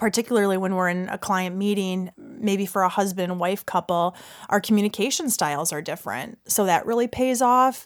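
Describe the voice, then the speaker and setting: A woman speaks at a moderate pace with hardly any pauses, in an unremarkable speaking voice. Her medium pitch shows ordinary variation, and the recording is very clean with a silent background. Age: 30s. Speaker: financial advisor. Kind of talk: interview.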